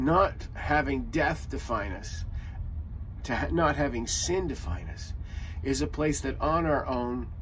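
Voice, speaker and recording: The pace of this man's speech is very slow. Light background noise is present. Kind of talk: sermon. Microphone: phone near.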